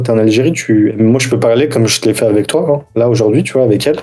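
It's a plain, everyday voice from a man, moving at a fairly quick pace. His pitch varies in an ordinary way. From France, Algerian mother. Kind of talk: casual chat.

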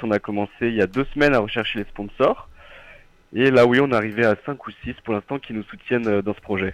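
A man with a medium pitch talks at a fairly quick pace. His intonation stays fairly even, and the sound is dry and close with no echo. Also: quiet background. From Nord-Isère, France. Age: 20s. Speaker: engineering student. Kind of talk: radio interview. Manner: halting.

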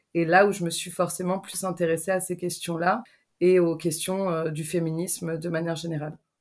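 Speaking at a moderate pace, a woman uses a fairly low pitch and monotone, flat intonation. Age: 30s. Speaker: documentary filmmaker. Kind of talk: interview.

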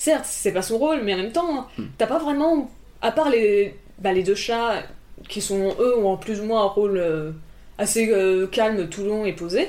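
A woman's fairly high, dark, mellow voice with lively intonation. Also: fairly slow pace. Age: 20s. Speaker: animation student. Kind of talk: casual chat. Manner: loud. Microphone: single shared mic, sound issues.

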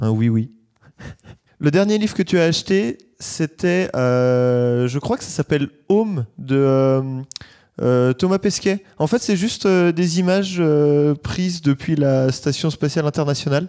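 In a very clean recording with a silent background and a dry, close sound with no echo, the voice has a dark, mellow tone and lively intonation, moving at a very slow pace with long, frequent pauses. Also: man, fairly high pitch for a man. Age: 20s. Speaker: listener answering questionnaire. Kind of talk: recorded questionnaire answers. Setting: sitting on a bed.

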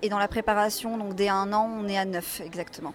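At a moderate pace, a woman talks in an ordinary speaking voice that sits fairly high for a woman. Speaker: convention organizer, association president. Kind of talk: interview answers.

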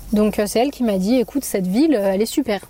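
Fairly high in pitch, a woman talks at a fairly quick pace in a normal speaking voice. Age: 20s. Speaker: Spanish teacher. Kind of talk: casual chat.

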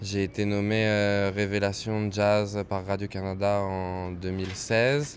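A man's monotone, flat delivery, very slow yet with hardly any pauses. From France, Créteil (Paris suburbs). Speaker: jazz pianist. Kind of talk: interview.

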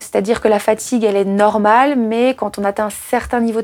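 A woman speaks very fast with fairly even intonation. Her pitch is fairly high. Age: 30s. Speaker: trail runner. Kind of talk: personal storytelling.

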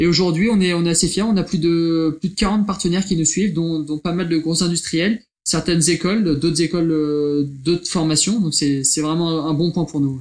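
A man's high voice at a moderate pace, with hardly any pauses, very even loudness and fairly even intonation. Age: 20s. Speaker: engineering apprentice. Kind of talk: interview. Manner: halting.

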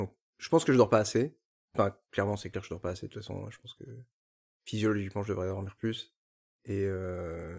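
A man speaks at a fairly low pitch and a fairly quick pace with ordinary pitch variation, big swings in loudness and long, frequent pauses, in a very clean recording with a silent background. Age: 30s. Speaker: industrial engineer. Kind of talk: interview. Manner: halting.

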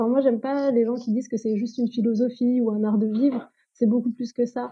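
A woman's fairly high voice comes through with a dark, mellow tone. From France. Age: 30s. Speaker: ayurveda practitioner. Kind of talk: interview.

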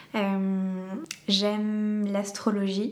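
A woman speaks over noticeable background noise. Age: 20s. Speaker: doula and foot reflexologist. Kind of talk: interview conversation. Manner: hesitant, many fillers.

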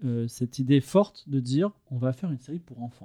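A man's fairly high-pitched voice with a dark, mellow tone and ordinary pitch variation, in a dry, close sound with no echo. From Toulon, southern France. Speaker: video director. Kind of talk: casual chat.

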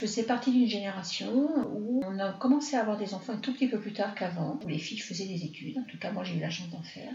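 Speaking very fast with hardly any pauses, a woman uses lively intonation and big swings in loudness, with audible room echo and noticeable background noise. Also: medium pitch for a woman. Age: 60s. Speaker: mother of the host. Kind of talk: personal testimony in interview.

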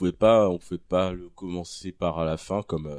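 A man speaks with a very deep, low pitch and fairly even intonation at a fairly slow pace. The recording is very clean, with a silent background. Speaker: blogger and community manager. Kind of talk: casual chat.

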